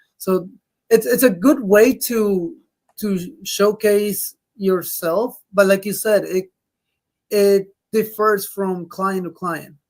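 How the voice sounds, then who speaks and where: A woman with a non-native accent speaks very slowly, with long, frequent pauses. Her pitch is medium with ordinary variation. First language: not English. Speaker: DJ and co-host. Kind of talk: casual chat. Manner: halting.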